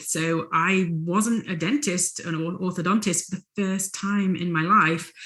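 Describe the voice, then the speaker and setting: A woman's bright, sharp tone at a fairly low pitch, with fairly even intonation and an English accent. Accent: English accent, noticeable. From England. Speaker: retired orthodontist and life coach. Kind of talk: interview.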